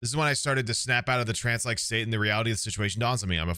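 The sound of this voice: The speaker uses an unforced reading voice. It is the whole clip.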